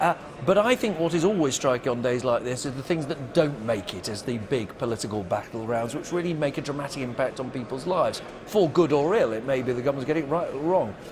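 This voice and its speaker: A man's fairly high voice with lively intonation, against noticeable background noise. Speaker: political correspondent. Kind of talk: broadcast political analysis.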